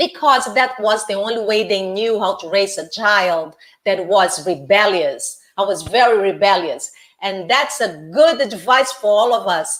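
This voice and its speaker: Speaking with a Brazilian accent, a woman uses lively intonation at a fairly slow pace and a medium pitch. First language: Portuguese. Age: 60s. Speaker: life coach. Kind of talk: interview. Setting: live video interview.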